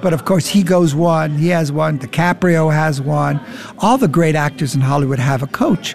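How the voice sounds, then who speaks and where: A man speaks at a fairly high pitch and a moderate pace, with ordinary pitch variation and very even loudness. Noticeable background noise is present. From Germany, Frankfurt. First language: German. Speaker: acting coach. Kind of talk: interview. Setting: bar.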